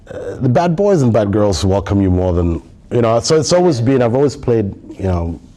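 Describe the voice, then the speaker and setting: Through noticeable background noise, a man with a medium pitch talks at a fairly quick pace with very wide pitch swings. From Somalia, raised across East Africa and Nigeria. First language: Somali. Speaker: tech industry manager. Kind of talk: podcast interview. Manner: hesitant, many fillers and repetitions.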